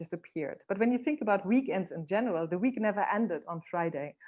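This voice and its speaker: Speaking at a medium pitch, a woman has a non-native accent. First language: not English. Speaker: keynote speaker. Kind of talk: online talk.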